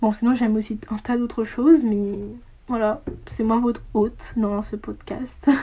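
A woman speaks at a fairly slow pace with a fairly high pitch and fairly even intonation. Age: young. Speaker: podcaster. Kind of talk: casual monologue. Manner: halting.

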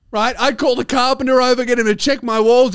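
On a very clean recording with a silent background, a man speaks. His pace is fairly quick. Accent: Australian. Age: 20s. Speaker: stand-up comedian and podcast host. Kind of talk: casual comedic chat, podcast banter with rants. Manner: animated.

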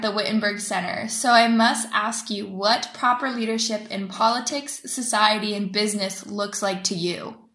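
With an American accent and a fairly high pitch, a woman speaks over noticeable background noise. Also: hardly any pauses. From United States. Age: 20s. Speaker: student interviewer. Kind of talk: interview. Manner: formal.

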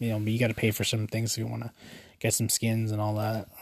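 A man with a Canadian accent talks at a very fast pace in a fairly low, somewhat breathy voice. The recording is very clean, with a silent background. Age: 20s. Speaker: podcast host. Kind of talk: casual solo podcast talk.

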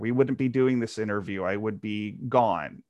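Over a quiet background, a man talks with a Texan accent. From rural Texas. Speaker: comic book writer. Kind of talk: interview. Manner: halting, with many repeated words.

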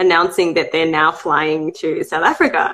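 Here a woman speaks with an Australian accent. Her intonation is lively. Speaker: podcast host. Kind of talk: casual interview.

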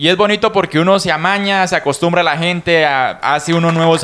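Noticeable background noise behind a fairly high-pitched male voice. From Casanare, Colombia. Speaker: podcast co-host. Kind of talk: casual chat. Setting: studio.

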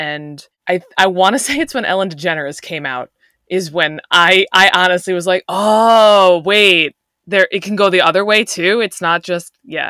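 A woman's medium-pitched voice with an American accent, bright, sharp tone, ordinary pitch variation and moderate pace, dry and close with no echo. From Long Island, New York. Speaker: teacher. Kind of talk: casual chat.

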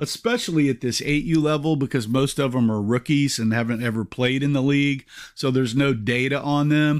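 A man's fairly high voice, an ordinary speaking voice, with ordinary pitch variation and very even loudness, on a very clean recording with a silent background. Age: 50s. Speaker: youth football coach and podcast host. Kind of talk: solo podcast monologue. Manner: frequent filler uhs.

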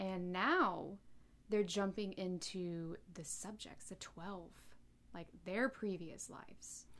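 A woman talks in an ordinary speaking voice with an American accent. Her pitch sits at a medium level and varies an ordinary amount. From North Carolina, US. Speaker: podcast co-host. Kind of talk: casual chat.

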